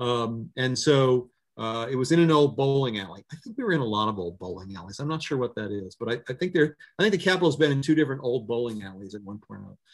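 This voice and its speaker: Speaking very fast in an American accent, a man with a medium pitch uses lively intonation and big swings in loudness. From Maryland, Ocean City. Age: 60s. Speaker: newspaper editor. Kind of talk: talk with audience Q&A. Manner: halting, many fillers and repetitions.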